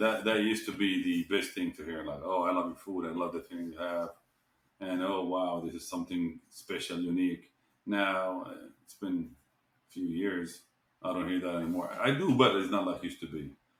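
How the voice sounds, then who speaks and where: A man with an Arabic accent at a moderate pace, his loudness swinging widely. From Jordan. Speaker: restaurant owner. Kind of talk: podcast interview.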